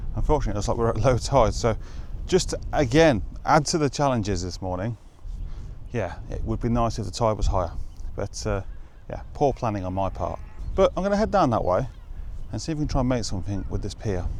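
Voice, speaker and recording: Amid audible room echo, a man with a British accent talks at a very fast pace in a medium pitch with vocal fry and lively intonation, broken by long, frequent pauses. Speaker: photographer, show presenter. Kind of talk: vlog narration on location. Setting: outdoors by the coast. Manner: quiet, hushed.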